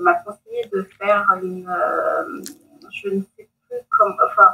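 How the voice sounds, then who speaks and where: Her loudness rises and drops in big swings. The woman talks at a very slow speed. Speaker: lawyer. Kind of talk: interview. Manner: halting, many hesitations.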